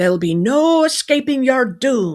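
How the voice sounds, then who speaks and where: A growling, put-on character voice at a fairly high pitch. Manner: menacing, playful.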